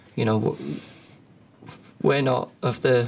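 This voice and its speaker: A man with a Liverpool accent speaks at a medium pitch and moderate pace. His intonation is monotone and flat. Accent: Liverpool (Scouse). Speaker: professional footballer. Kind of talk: press conference answers.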